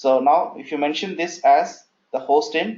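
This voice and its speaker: A man speaks with a fairly high pitch. His intonation is lively. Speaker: DevOps instructor. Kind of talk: live class tutorial. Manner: halting.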